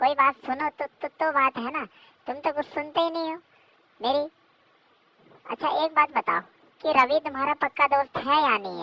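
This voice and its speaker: A female-sounding, cartoonish character voice, high in pitch, at a moderate pace. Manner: scolding, indignant.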